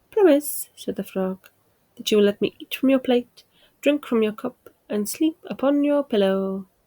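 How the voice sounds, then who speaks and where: A soft-spoken woman talks at a fairly slow pace with lively intonation, the sound dry and close with no echo. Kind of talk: bedtime story reading. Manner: calm, soft-spoken.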